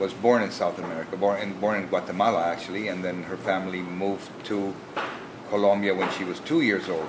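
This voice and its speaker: Fairly low male voice with fairly even intonation, audible room echo and noticeable background noise. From Philippines, Manila. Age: 60s. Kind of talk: interview. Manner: halting, with many fillers and restarts.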